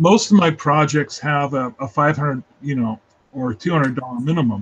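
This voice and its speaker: The man's fairly high voice is somewhat breathy, with ordinary pitch variation and a moderate pace. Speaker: freelance illustrator hosting a live sketch hangout. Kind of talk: casual chat.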